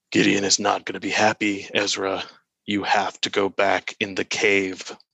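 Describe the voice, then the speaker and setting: A man puts on a raspy character voice at a fairly low pitch. He keeps a moderate pace. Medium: actual play. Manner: weary, dry.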